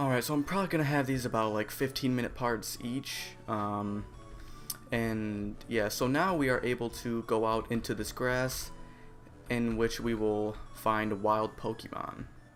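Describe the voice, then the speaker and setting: A man's quiet, mumbled speech at a fairly slow pace, with music in the background. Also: medium pitch for a man, ordinary pitch variation. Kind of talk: video game let's play commentary. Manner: quiet, somewhat mumbled.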